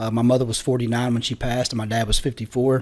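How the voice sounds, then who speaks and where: A man with a southern Missouri accent, flat monotone intonation, very clean recording and silent background. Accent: rural southern Missouri American. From US Midwest, Southeast Missouri. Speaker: Marine Corps veteran. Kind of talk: podcast interview, personal testimony. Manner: fast.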